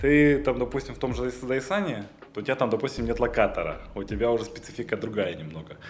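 A man talks at a very fast pace with noticeable background noise. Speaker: air traffic controller. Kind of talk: casual chat.

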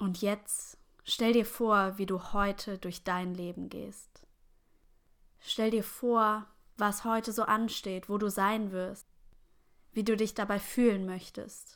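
Against a silent background in a very clean recording, a woman speaks at a very slow pace with long, frequent pauses, a gentle, calm tone and a monotone, flat intonation. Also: medium pitch for a woman. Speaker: meditation guide. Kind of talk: guided meditation. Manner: slow, calm, soothing; gentle, unhurried pacing with long pauses.

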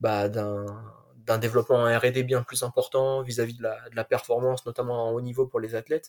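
At a moderate pace, a man talks with monotone, flat intonation. His pitch is medium. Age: 20s. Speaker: sports science student and athletics stats enthusiast. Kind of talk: podcast interview.

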